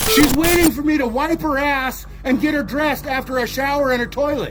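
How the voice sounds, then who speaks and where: With music in the background, a man shouts loudly at an extremely high pitch, fairly quick and with fairly even intonation. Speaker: man confronting police at home. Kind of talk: heated argument. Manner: loud, yelling.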